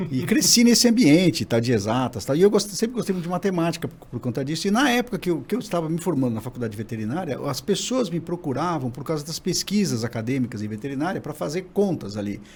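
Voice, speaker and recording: A man speaks very fast at a fairly high pitch, swinging his pitch very widely. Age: 60s. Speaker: digital scientist, former professor. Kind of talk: podcast interview.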